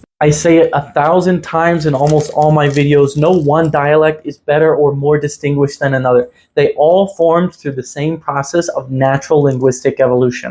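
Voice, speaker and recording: A man's normal speaking voice, fairly high in pitch, fairly even in intonation, at a fairly quick pace with hardly any pauses. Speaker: linguistics content creator. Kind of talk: reaction commentary video. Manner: assertive.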